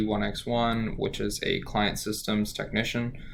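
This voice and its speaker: There is audible room echo around a man's voice. He speaks at a moderate pace with monotone, flat intonation. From Louisiana, Cajun area near Lafayette. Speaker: student. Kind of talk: self-introduction for a class. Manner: hesitant, many fillers.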